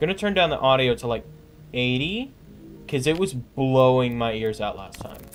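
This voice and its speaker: This is an ordinary speaking voice at a moderate pace. Its loudness swings widely. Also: man, medium pitch for a man. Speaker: gaming streamer. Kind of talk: live gameplay commentary. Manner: casual, filler-heavy.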